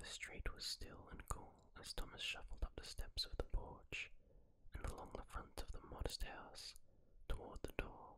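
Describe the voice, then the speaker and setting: Whispering and soft-spoken, a man talks at a moderate pace over light background noise. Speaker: story narrator. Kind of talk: story narration. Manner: soft whispered story reading. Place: home room. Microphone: studio mic.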